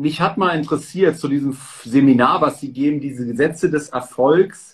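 A man with a fairly high pitch talks at a moderate pace in a plain, everyday voice. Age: 30s. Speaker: stock and real estate content creator, interviewer. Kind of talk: interview. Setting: livestream.

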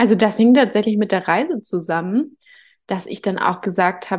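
A woman talks in an ordinary speaking voice at medium pitch and a moderate pace. Her pitch varies in an ordinary way over a quiet background. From northern Germany, Hamburg. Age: 30s. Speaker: reiki teacher. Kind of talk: casual interview.

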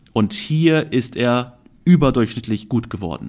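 On a very clean recording with a silent background, a man talks at a medium pitch with lively intonation. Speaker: trading podcast host. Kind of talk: solo podcast monologue. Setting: recording with camera. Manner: spontaneous, with fillers and restarts.

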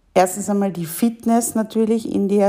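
A woman talks over noticeable background noise. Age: 40s. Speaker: women's coach and mentor, podcast host. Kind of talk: solo podcast monologue.

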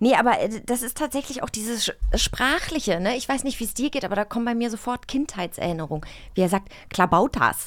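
A woman talks at a fairly quick pace in a fairly high pitch, her tone animated and her pitch swinging very widely. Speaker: podcast co-host. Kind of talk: casual chat.

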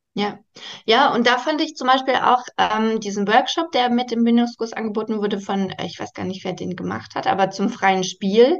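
A woman speaks in a plain, everyday voice at a fairly high pitch, with ordinary pitch variation and a moderate pace. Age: 30s. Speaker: primary school teacher. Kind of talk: interview.

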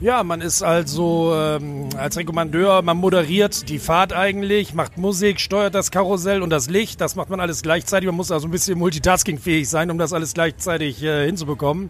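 Noticeable background noise sits behind this voice. A man talks at a high pitch with ordinary pitch variation. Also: moderate pace. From Bremen. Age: 40s. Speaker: fairground ride operator. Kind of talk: interview. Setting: outdoors at a fairground. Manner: hesitant with fillers.

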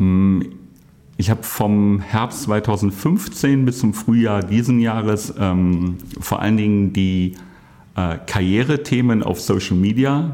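A man speaks with ordinary pitch variation. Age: 50s. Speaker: IT workforce manager. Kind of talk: casual interview.

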